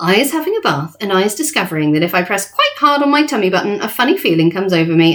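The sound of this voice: Simply an unforced reading voice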